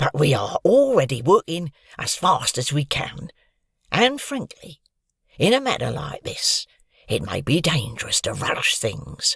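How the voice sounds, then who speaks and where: A man puts on a raspy character voice at a fairly high pitch, speaking at a fairly slow pace in a dry, close sound with no echo. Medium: read story. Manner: curt, spiteful.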